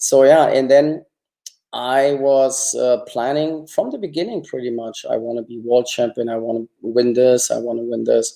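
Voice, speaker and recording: The voice has a dark, mellow tone and a German accent. It moves at a moderate pace with big swings in loudness. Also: man, medium pitch for a man, fairly even intonation. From East Germany. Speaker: former Olympic gymnast. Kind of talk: interview.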